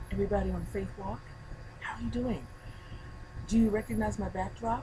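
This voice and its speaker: There is audible room echo on this recording. A woman talks at a fairly quick pace. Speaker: faith video blogger. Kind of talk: casual video blog. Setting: outdoors on a deck. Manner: soft-spoken.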